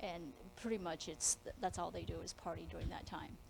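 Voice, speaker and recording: A woman talks at a fairly quick pace with vocal fry. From US Midwest, Lincoln, Nebraska. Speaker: lawyer and scientist. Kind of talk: career talk to students. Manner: casual.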